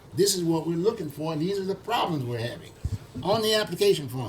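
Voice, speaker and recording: Noticeable background noise sits behind a man talking at a fairly quick pace. His voice is high-pitched, with lively intonation and an animated tone. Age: 80s+. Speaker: talk show host. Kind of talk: casual discussion.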